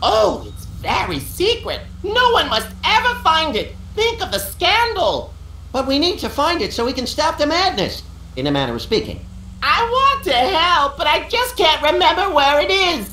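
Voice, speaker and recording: Over clear background noise, a put-on character voice at an extremely high pitch speaks at a moderate pace. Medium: video game.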